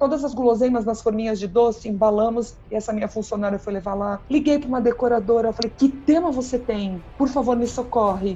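A woman's fairly high pitch carries a dark, mellow tone. She keeps a moderate pace. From Brazil, São Paulo. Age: 50s. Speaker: party planning teacher and speaker. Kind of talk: podcast interview. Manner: animated.

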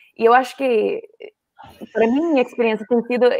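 A woman speaks at a fairly high pitch, with ordinary pitch variation. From US, Colorado. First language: English (speaking Portuguese). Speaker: NGO worker, guest. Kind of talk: casual interview chat.

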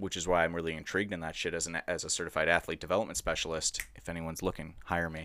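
A man with an American accent talks at a very fast pace in a very deep, low voice with a bright, sharp tone. The recording is very clean, with a silent background. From Edina, Minnesota. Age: 20s. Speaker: guest. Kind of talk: casual chat.

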